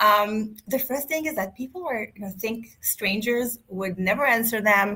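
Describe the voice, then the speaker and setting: With a non-native accent, a woman speaks in a bright, sharp tone at a fairly high pitch and ordinary pitch variation. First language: not English. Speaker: networking expert. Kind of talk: podcast interview. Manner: halting, many restarts.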